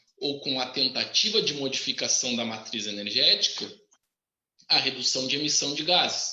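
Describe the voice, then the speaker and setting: Audible room echo surrounds a man's voice. He speaks at a moderate pace with a fairly high pitch. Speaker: engineering professor. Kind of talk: live webinar talk. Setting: live stream. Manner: animated.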